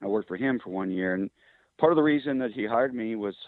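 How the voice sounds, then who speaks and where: A man with a Midwestern US accent talks at a very fast pace in a medium pitch. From Kansas. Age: 60s. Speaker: engine builder and drag racer. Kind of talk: interview storytelling. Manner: relaxed with frequent fillers.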